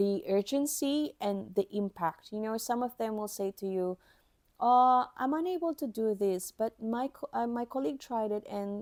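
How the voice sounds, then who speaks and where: A woman with a non-native accent talks at a moderate pace in a fairly high voice with lively intonation, recorded very cleanly with a silent background and a dry, close sound with no echo. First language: not English. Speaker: podcast host, IT helpdesk professional. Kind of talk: instructional podcast monologue. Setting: recording at a microphone.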